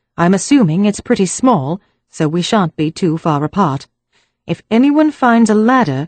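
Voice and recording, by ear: Against a quiet background, someone is reading aloud in a natural voice with lively intonation.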